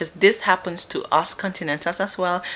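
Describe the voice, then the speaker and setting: This woman speaks with a Gambian accent. Her pace is moderate. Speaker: vlogger. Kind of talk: casual advice talk to camera.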